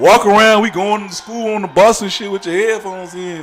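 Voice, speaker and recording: An animated tone in a Chicago accent at a moderate pace, with noticeable background noise. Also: man. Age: 30s. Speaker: live streamer. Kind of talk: casual chat.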